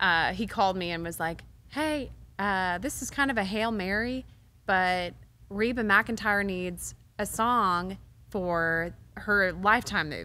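Speaking fairly slowly in a bright, sharp tone, a woman with an American accent has a medium pitch and ordinary pitch variation. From Texas, Waco; Texas. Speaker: songwriter; guest. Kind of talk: interview. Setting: stage at a music venue. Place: studio. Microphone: studio mic.

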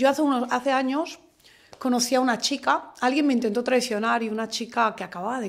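At a very fast pace, a woman speaks at a fairly high pitch. The background is quiet. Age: 40s. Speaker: community association president; podcast guest. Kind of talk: interview conversation. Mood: earnest, indignant. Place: studio.

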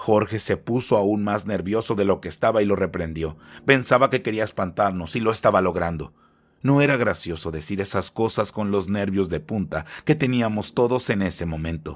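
Here is a man with an ordinary speaking voice. His pitch is fairly low and his pace moderate. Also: ordinary pitch variation. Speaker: storyteller narrating horror legends. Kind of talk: ghost story narration, first-person horror tale. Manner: hushed, tense, building dread with pauses.

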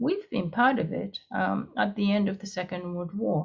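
The voice carries a Japanese accent and is somewhat breathy. Its pitch variation is ordinary. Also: woman, quiet background. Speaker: international security professor. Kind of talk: panel discussion. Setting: video call. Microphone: video call.

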